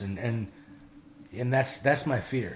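With an American accent, a man speaks at a moderate pace in a somewhat breathy voice of medium pitch, with ordinary pitch variation. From Wisconsin, rural dairy farm. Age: 40s. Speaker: recovering addict. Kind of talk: personal testimony in casual chat.

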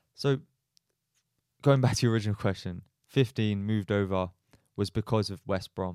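A man with a fairly low pitch speaks at a moderate pace with ordinary pitch variation. He leaves long, frequent pauses, and the sound is dry and close with no echo. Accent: English. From Australia. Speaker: footballer. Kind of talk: casual interview chat.

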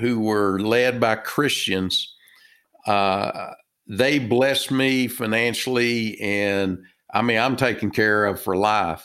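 A man speaks very slowly at a medium pitch with a Texas accent and ordinary pitch variation. The recording is very clean, with a silent background. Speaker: author and business consultant. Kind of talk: casual interview chat. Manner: halting, filler words.

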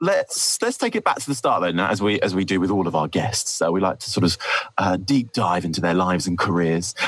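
Very fast speech with ordinary pitch variation amid noticeable background noise. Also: man, very deep, low pitch for a man. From Essex, England. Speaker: podcast host. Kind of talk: casual podcast interview.

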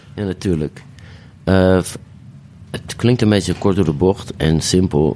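A man with a very deep, low pitch talks at a fairly slow pace with ordinary pitch variation. Long pauses come often. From Amsterdam, De Pijp. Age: 40s. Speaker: DJ and singer. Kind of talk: casual chat.

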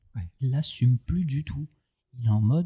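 Somewhat breathy and medium in pitch, a man speaks at a fairly slow pace with ordinary pitch variation in a dry, close sound with no echo. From southern France, Aubagne. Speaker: rapper and tattoo artist. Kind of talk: casual interview. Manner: animated.

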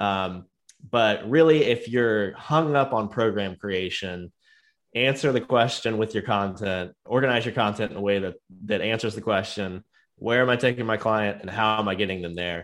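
At a moderate pace and with ordinary pitch variation, a normal speaking voice comes through on a very clean recording with a silent background. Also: man, fairly low pitch for a man. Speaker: podcast host, software company team member. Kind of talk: casual chat.

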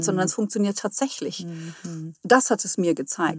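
Very clean with a silent background and a dry, close sound with no echo, this recording has a somewhat breathy woman speaking at a moderate pace with lively intonation. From Hesse, near Friedberg. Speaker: spiritual medium. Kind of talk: interview.

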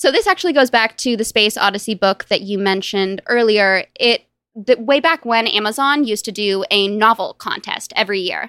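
A woman's fairly high, bright, sharp voice with ordinary pitch variation, at a fairly quick pace with hardly any pauses, on a very clean recording with a silent background and a dry, close sound free of echo. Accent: Californian. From US West Coast, Los Angeles. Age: 20s. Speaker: novelist and software product manager. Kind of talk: casual interview.

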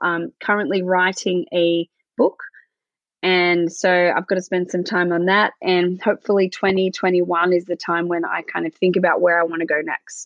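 A woman with an Australian accent. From Australia, rural Victoria. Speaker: nurse. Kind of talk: interview.

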